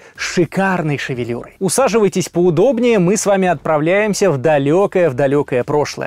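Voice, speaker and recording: Against a quiet background, a man with a high pitch uses lively intonation. He keeps a moderate pace, and the sound is dry with no echo. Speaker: interviewer. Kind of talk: podcast host intro and interview questions. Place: studio. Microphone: studio mic.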